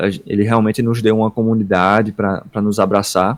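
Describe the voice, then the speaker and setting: In an ordinary speaking voice, a man with a fairly low pitch talks at a fairly quick pace on a very clean recording with a silent background. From Northeast Brazil, Paraíba. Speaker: worship ministry leader. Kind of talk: podcast interview.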